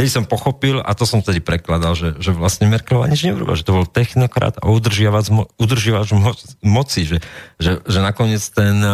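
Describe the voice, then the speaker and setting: The sound is dry and close with no echo. A man with a fairly low pitch speaks at a moderate pace, using ordinary pitch variation. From Slovakia, Trenčín. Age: 40s. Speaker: political blogger and commentator. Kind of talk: interview. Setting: studio. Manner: emotional.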